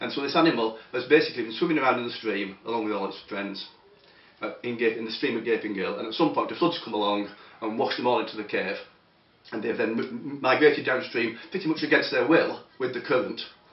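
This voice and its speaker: Speech comes at a very fast pace with ordinary pitch variation. Audible room echo surrounds it. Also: man. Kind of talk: interview answer. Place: office. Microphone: camera far.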